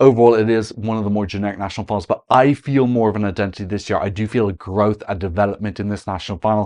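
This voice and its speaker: In an Irish accent, a man talks at a very fast pace with a fairly low pitch and fairly even intonation. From Ireland. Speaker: Eurovision analyst, content creator. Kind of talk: video commentary analysis.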